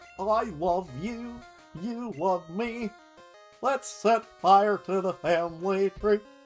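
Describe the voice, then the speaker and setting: A put-on character voice speaks at a middle pitch and a very slow pace. Clear music plays in the background. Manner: goofy, cheerful.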